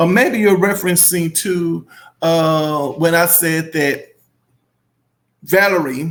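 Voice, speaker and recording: With a strong Southern US accent, a man speaks at a very slow pace. His pitch is high, with ordinary variation. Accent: thick Southern US. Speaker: YouTuber. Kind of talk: casual commentary reading viewer comments.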